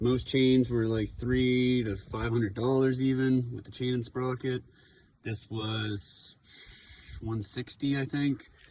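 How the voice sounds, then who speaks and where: Somewhat breathy and monotone with flat intonation, a man speaks at a very slow pace. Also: medium pitch for a man. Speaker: motorcycle YouTuber. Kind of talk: tutorial; casual chat. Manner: casual.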